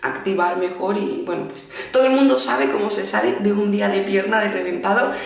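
A woman's fairly low-pitched voice at a moderate pace, with audible room echo. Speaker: fitness vlogger. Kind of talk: casual vlog chat. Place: home room. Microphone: phone near.

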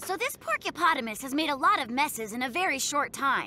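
Bright and sharp in tone, the cartoonish character voice makes big pitch swings. It goes at a fairly quick pace over faint background noise.

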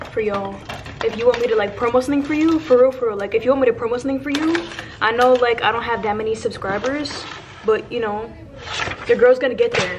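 A woman with a high voice rushes along at a very fast pace against noticeable background noise. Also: ordinary pitch variation. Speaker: vlogger. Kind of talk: casual vlog chat. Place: station. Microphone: phone near.

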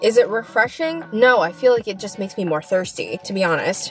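Faint music plays in the background of this dry recording with no echo, and the speech moves at a fairly quick pace. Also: woman. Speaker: vlogger. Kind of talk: casual vlog chat, food review. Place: car. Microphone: phone near.

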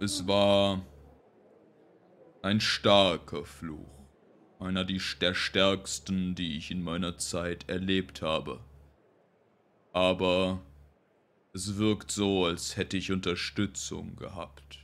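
In a put-on character voice, a man speaks at a very slow pace with a very deep, low pitch and long, frequent pauses. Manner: calm, dignified, gracious.

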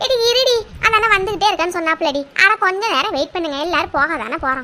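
In a cartoonish character voice, a woman talks at a moderate pace with an extremely high pitch and very wide pitch swings. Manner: assertive, addresses friends as ஏட்டி.

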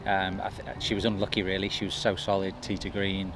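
A man talks at a fairly quick pace with a fairly low pitch. The sound is dry with no echo, though background noise is noticeable. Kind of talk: interview answer. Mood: relaxed, pleased. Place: open country.

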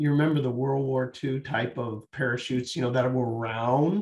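A man speaks in a somewhat breathy voice with ordinary pitch variation. The background is quiet, but audible room echo is present. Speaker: guest. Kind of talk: interview answer, storytelling. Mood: warm, smiling, anecdotal. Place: home room. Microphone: video call.

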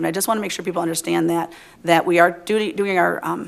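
There is noticeable background noise. Through it, a woman talks at a medium pitch. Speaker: city council member. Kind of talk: council meeting remarks. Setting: council chambers. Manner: halting.

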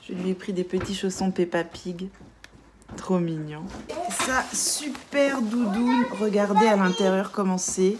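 A woman talks at a fairly slow pace. Her pitch is medium, with ordinary pitch variation. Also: slightly mellow tone.

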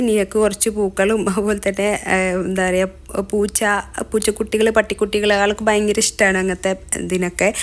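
This is a woman speaking at a medium pitch. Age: 20s. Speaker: lifestyle vlogger. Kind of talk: vlog narration.

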